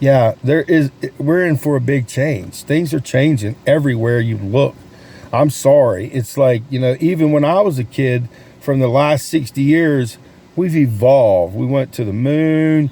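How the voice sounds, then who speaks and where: This man speaks with a Southern US accent. His pitch is fairly high and his pace fairly slow. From US South, North Carolina. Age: 60s. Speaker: sales coach and realtor vlogger. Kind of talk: casual vlog talk. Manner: animated.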